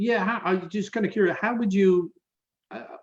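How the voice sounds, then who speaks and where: Speaking at a fairly quick pace, a man talks in a Dublin accent. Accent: Irish (Dublin). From Ireland, Dublin. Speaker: diplomat. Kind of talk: casual interview. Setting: video call.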